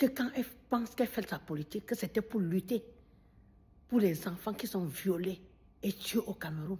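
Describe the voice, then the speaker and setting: A woman speaks at a moderate pace with a medium pitch, ordinary pitch variation, and long, frequent pauses. Her voice is somewhat breathy, with a dark, mellow tone. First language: Bamileke (Bafang or Baham) (speaking French). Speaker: video commentator. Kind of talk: monologue addressing a critic. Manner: animated.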